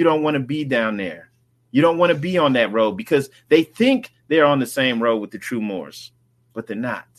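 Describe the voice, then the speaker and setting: In an American accent, a man with a normal speaking voice talks at a moderate pace, pitched fairly high, with lively intonation. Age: 40s. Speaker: religious livestream host. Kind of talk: livestream talk on religious movement. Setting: live stream with chat. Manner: casual, repetitive filler.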